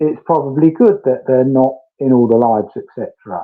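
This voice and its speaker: The speaker has a British accent and lively intonation. The pace is moderate. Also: man. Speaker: true crime streamer. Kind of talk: live stream chat. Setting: garden room, online call. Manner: careful, diplomatic. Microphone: connection fading and freezing, on mobile data.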